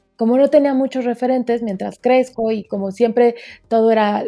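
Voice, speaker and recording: A woman's dark, mellow tone at a very fast pace, with fairly even intonation and a dry, close sound with no echo. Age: 30s. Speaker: author. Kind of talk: interview conversation.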